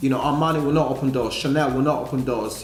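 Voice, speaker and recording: Amid audible room echo and noticeable background noise, a man with an African accent speaks fairly quickly at a fairly high pitch. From Africa, with Italian heritage. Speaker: model, casting director and presenter. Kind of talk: casual talk show interview.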